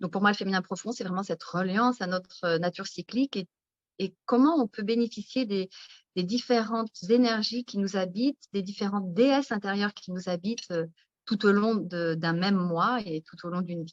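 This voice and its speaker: With a dry, close sound and no echo, a woman speaks at a moderate pace in an ordinary speaking voice, medium in pitch with ordinary pitch variation. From France, countryside. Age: 50s. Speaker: naturopath and author. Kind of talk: interview. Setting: live video stream.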